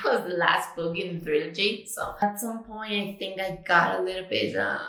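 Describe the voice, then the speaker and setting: With audible room echo, a woman speaks in a Spanish accent. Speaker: book vlogger. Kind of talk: casual chat. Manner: casual, with many fillers.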